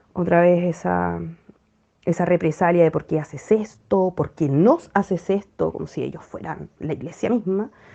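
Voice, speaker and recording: A woman speaks with a Chilean accent at a fairly slow pace. Her tone is dark and mellow, and her pitch sits fairly low. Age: 30s. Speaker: former church member sharing experience. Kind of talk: personal testimony. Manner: hesitant, many fillers.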